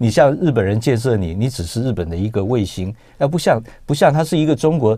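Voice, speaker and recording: Over a quiet background, a man with a dark, mellow tone speaks fairly quickly with lively intonation. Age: 50s. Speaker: film producer; guest. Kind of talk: radio interview. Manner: halting. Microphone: lapel.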